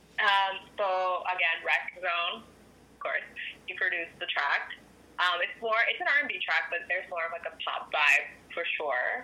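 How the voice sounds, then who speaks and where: A woman with a Canadian accent speaks fairly slowly, her loudness swinging a lot, with noticeable background noise behind her. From Ottawa, Canada. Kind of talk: radio interview.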